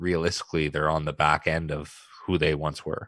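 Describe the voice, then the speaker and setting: A man's very deep, low voice with a bright, sharp tone, dry and close with no echo, against a quiet background. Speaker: podcast co-host. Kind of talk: casual chat. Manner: casual, profane, laid-back.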